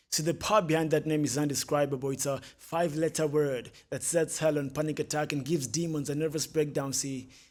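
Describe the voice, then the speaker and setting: This man has a plain, everyday voice, speaking at a moderate pace with a fairly high pitch and fairly even intonation. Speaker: spoken word poet. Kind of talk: spoken word poetry performance.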